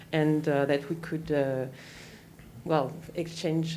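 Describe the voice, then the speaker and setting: A woman speaks at a very deep, low pitch in a monotone, flat intonation. Room echo is audible. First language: French. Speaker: city representative. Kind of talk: panel discussion. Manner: halting, many fillers.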